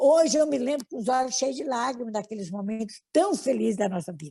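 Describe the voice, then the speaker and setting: A woman speaks at a high pitch with lively intonation and a moderate pace. The recording is very clean with a silent background. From Brazil, Minas Gerais. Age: 70s. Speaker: spiritist leader. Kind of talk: interview.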